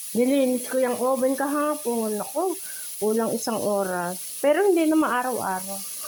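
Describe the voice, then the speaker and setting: A woman's high-pitched voice with lively intonation at a moderate pace, amid noticeable background noise and audible room echo. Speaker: cooking vlogger. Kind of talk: cooking tutorial. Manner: casual, chatty.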